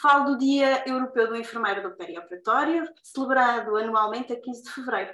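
A high-pitched woman at a fairly quick pace, hardly any pauses, and big swings in loudness. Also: ordinary pitch variation. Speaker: podcast host and nurse. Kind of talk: casual interview.

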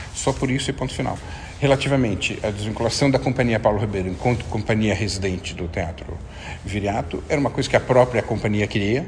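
Over noticeable background noise, a man with a Brazilian accent and a fairly low pitch talks at a very fast pace. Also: ordinary pitch variation. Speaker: theatre artistic director. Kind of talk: interview. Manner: halting, many fillers.

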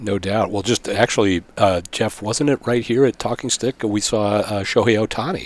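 With hardly any pauses, a man with a fairly low pitch and ordinary pitch variation keeps a moderate pace, the sound dry and close with no echo despite noticeable background noise. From Arizona (Phoenix area), born in Pittsburgh. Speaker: sports public relations executive. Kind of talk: casual interview. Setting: hotel room, in person.

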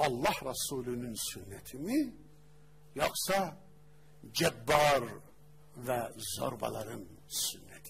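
Lively intonation at a very slow pace, with long, frequent pauses, big swings in loudness, audible room echo and noticeable background noise. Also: man, medium pitch for a man. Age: 40s. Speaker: Islamic preacher and teacher. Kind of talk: religious lecture. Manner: animated.

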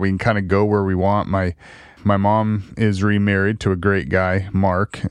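In an American accent, a plain, everyday voice speaks at a moderate pace. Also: man. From Oregon (Salem). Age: 40s. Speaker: youth ranch operations director. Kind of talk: interview. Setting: studio.

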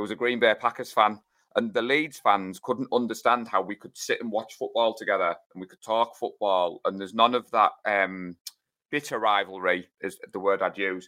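With a northeast English accent, a man at medium pitch talks at a moderate pace with ordinary pitch variation, a bright, sharp tone and big swings in loudness, in a dry, close sound with no echo. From northeast England. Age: 40s. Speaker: sports fan club organiser. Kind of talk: casual chat.

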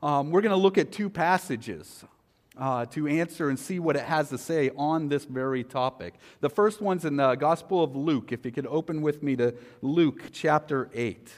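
Pitched fairly high, a man talks at a moderate pace with lively intonation. His is a plain, everyday voice. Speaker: pastor. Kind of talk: sermon. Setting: church.

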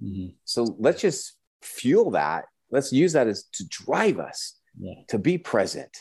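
A man with an American accent speaks at a very slow pace, his loudness swinging widely against a quiet background. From Southern California, San Diego. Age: 40s. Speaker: family coach. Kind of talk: casual interview. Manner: animated.

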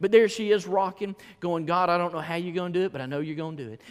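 A man with a Southern US accent talks at a very fast pace in a high pitch, animated in tone. His pitch varies an ordinary amount, and the recording is very clean with a silent background. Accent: US South. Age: 40s. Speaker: pastor. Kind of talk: sermon. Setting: church.

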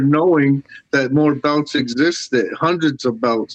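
A man with a normal speaking voice talks at a moderate pace and a fairly high pitch, his intonation fairly even. The sound is dry and close, with no echo. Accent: American. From US Northeast, Syracuse, New York. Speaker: artist. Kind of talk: interview. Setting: internet call.

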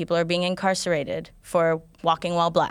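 This woman has a normal speaking voice with a fairly low pitch and a moderate pace. The recording is very clean, with a silent background. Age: 20s. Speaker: nonprofit director and activist. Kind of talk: radio interview.

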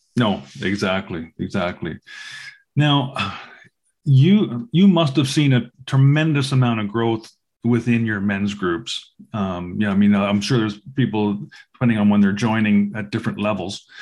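The man has an unremarkable speaking voice, fairly low in pitch, with ordinary pitch variation. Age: 60s. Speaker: podcast host. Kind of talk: casual interview chat.

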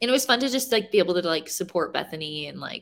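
A woman with a fairly low pitch and vocal fry talks at a moderate pace with lively intonation. The recording is very clean, with a silent background. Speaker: CrossFit athlete. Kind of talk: casual chat.

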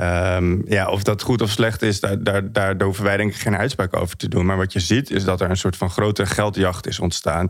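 On a very clean recording with a silent background, the voice runs at a moderate pace with monotone, flat intonation, very even loudness and hardly any pauses. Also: man, fairly low pitch for a man. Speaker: creative strategist. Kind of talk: expert discussion.

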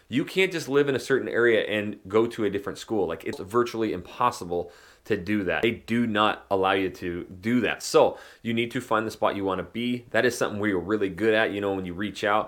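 With an American accent and an animated tone, a man talks at a fairly quick pace, his fairly low pitch showing ordinary variation, on a very clean recording with a silent background. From northern Idaho, US. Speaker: real estate agent and podcast host. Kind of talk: casual monologue.

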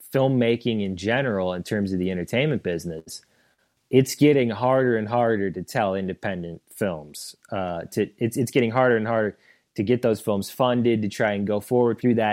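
Using a plain, everyday voice, a man with an American accent talks at a moderate pace, medium pitch and ordinary pitch variation. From St. Louis, Missouri. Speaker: documentary filmmaker. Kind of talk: interview.

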